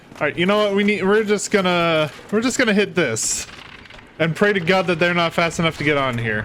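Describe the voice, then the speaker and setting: Over noticeable background noise, a man speaks in an animated tone at a fairly quick pace, his pitch high and his intonation lively, with very even loudness throughout. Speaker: gaming youtuber. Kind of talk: let's play commentary. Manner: casual, animated.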